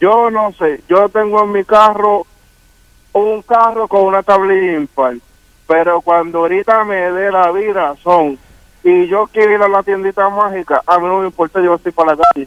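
A man's high-pitched voice at a fairly slow pace, the sound dry and close with no echo. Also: ordinary pitch variation. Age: 40s. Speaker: caller. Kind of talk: call-in chat.

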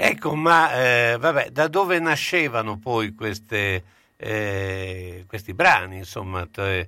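Recorded very cleanly over a silent background, a man speaks very slowly with a fairly low pitch. His tone is bright and sharp, and his pitch swings very widely. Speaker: radio host. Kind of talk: casual radio chat. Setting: radio studio.

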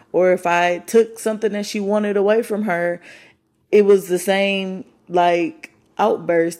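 The speaker talks very slowly in an American accent, with fairly even intonation. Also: woman. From Michigan. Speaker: podcast host. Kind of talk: casual monologue.

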